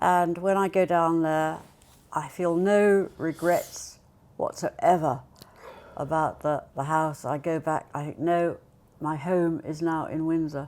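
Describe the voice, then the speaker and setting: A woman with a southern English accent speaks very slowly in a fairly low voice with fairly even intonation, on a very clean recording with a silent background. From Buckinghamshire, England. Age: 80s+. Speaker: retirement home resident. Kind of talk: casual interview chat.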